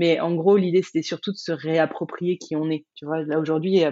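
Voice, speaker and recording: A woman with a very deep, low pitch talks at a fairly quick pace in a flat monotone. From France, Burgundy near Dijon. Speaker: life coach and entrepreneur. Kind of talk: interview, casual chat.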